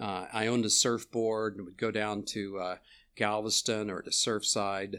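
A man with a Texan accent speaks fairly slowly at a fairly low pitch, in a monotone, flat delivery. The recording is very clean with a silent background. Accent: Texan Southern US. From Texas. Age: 70s. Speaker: professor. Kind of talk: casual chat. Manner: halting.

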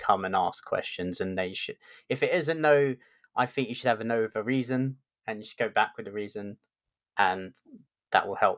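A man with a London accent speaks at a medium pitch. The recording is very clean with a silent background and a dry, close sound with no echo. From London, England. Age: middle-aged. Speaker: podcast host, tech lead. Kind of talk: interview conversation.

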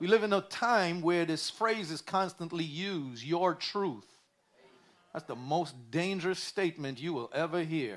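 A high-pitched man with an American accent, animated in tone, at a fairly slow pace. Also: ordinary pitch variation. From New York City. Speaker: pastor. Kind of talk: sermon.

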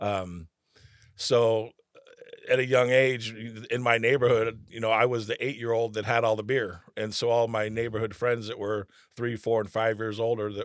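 In an American accent, a man speaks at a medium pitch and moderate pace in a flat monotone. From California, Rancho Cordova near Sacramento. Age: 50s. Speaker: author and recovering addict. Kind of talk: interview. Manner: halting, many fillers.

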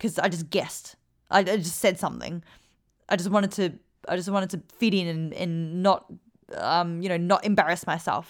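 In an Australian accent, a woman with a fairly low pitch talks at a moderate pace in an animated tone. The recording is very clean, with a silent background. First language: Vietnamese. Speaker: podcast host and performance coach. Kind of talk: casual Q&A monologue.

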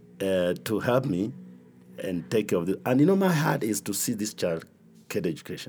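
Using vocal fry, a man speaks in a fairly low pitch with very wide pitch swings. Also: moderate pace. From Kenya. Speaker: bishop. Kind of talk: interview testimony.

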